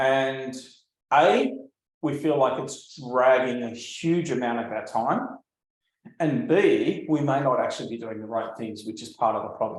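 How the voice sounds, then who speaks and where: With an Australian accent, a man speaks fairly slowly at a medium pitch with ordinary pitch variation, big swings in loudness and audible room echo. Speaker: landscape photographer and art business coach. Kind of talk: live webinar presentation. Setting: livestream video call. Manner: casual, with frequent fillers.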